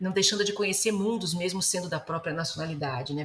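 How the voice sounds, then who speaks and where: A woman at a fairly low pitch with ordinary variation, at a very fast pace, amid noticeable background noise. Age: 30s. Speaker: novelist. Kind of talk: interview.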